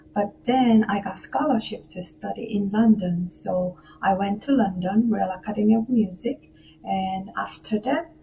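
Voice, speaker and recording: A woman speaks at a medium pitch with ordinary pitch variation and a fairly slow pace. Music plays in the background. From South Korea, Seoul. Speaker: musician and music professor. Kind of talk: radio interview. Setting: remote call from home.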